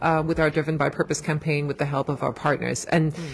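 With a German accent, a woman speaks in a very deep, low pitch. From Germany. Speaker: motorsport PR director. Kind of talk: casual interview. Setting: public area.

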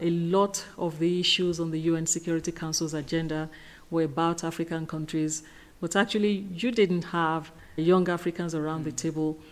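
Fairly low-pitched female voice, fairly quick, with monotone, flat intonation. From Nigeria. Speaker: professor. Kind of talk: interview.

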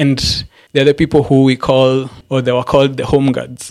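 In a monotone with flat intonation, a man talks at a medium pitch and a moderate pace. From Kenya, Embu County. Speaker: photographer and filmmaker. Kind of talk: interview conversation.

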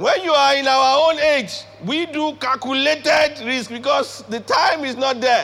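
A man with a Nigerian accent speaks in a raised, projected voice at an extremely high pitch, with ordinary pitch variation and a fairly slow pace. His tone is animated, and there is noticeable background noise. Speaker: pastor and leadership speaker. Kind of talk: sermon. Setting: church with live congregation.

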